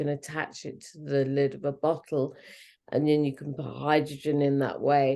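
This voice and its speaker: A woman with an English accent, very deep and low in pitch with a dark, mellow tone, at a moderate pace against a quiet background. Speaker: fertility expert. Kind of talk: casual chat. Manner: halting.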